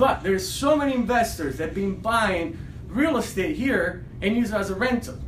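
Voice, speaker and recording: A man with an Italian accent speaks in an animated tone at a moderate pace, his pitch high and his intonation lively. Audible room echo and noticeable background noise surround him. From Italy. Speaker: realtor. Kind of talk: casual video commentary.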